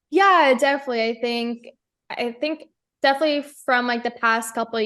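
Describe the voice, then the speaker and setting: A woman with an American accent and an ordinary speaking voice, ordinary pitch variation, against a quiet background. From United States. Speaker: professional race car driver. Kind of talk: radio interview answer. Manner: casual, conversational.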